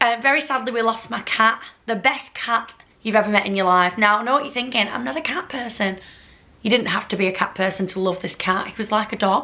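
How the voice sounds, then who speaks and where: Speaking in a Lancashire accent, a woman talks at a fairly high pitch and a fairly quick pace. Her tone is animated, with ordinary pitch variation. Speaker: vlogger. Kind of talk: casual chat.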